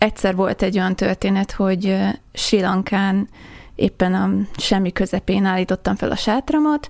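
This woman has a normal speaking voice, medium in pitch, and talks at a moderate pace. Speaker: traveller. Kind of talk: interview. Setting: studio.

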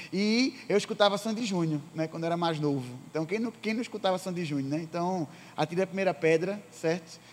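Here a man talks at a fairly quick pace. His pitch is high, with ordinary variation. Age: 20s. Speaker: youth pastor. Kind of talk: sermon. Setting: church service.

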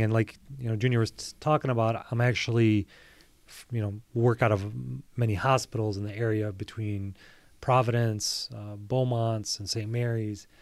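With an American accent, a man talks at a moderate pace in an ordinary speaking voice, medium in pitch with fairly even intonation, in a very clean recording with a silent background. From Metro Detroit, Michigan. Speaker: podiatrist. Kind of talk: interview.

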